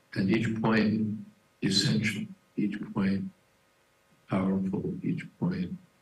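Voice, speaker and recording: Soft-spoken and somewhat breathy, a man talks very slowly at a fairly low pitch, with long, frequent pauses and ordinary pitch variation. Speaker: devotee giving memorial talk. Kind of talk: memorial tribute talk.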